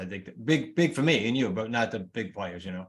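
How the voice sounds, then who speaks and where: A man talks at a very fast pace in a New England accent. His intonation is lively. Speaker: real estate coach and author. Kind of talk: interview.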